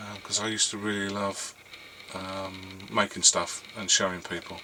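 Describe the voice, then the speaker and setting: Over noticeable background noise, a man talks at a fairly slow pace in a fairly low voice. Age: 60s. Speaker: hobby YouTuber and 3D printing business owner. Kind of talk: casual monologue to camera. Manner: halting, many fillers.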